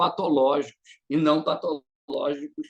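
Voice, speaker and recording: A man is speaking here. His pace is very slow. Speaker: psychoanalyst presenting in supervision group. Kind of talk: online group presentation. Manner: hesitant, many repetitions.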